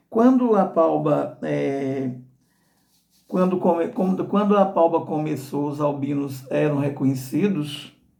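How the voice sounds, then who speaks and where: In a room with audible echo, a man with a fairly high pitch and a dark, mellow tone speaks at a very slow pace with ordinary pitch variation. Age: 60s. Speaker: association director and albinism advocate. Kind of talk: informational talk. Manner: halting with repetitions.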